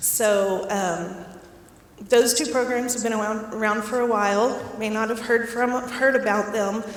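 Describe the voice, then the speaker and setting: With noticeable background noise and audible room echo, the speaker goes at a fairly slow pace in fairly even intonation. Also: woman, fairly high pitch for a woman. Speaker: director of a foster care program. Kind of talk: community talk.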